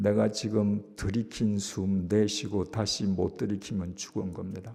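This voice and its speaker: Very slow and monotone, a man speaks with a flat intonation in a dark, mellow tone and a fairly low pitch. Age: 70s. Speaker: pastor. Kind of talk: sermon.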